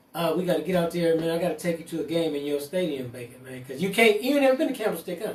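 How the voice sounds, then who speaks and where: Over noticeable background noise, a man talks at a very fast pace with hardly any pauses. His pitch is high. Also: lively intonation. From US West Coast, East Oakland, California. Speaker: cannabis entrepreneur. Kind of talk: casual chat.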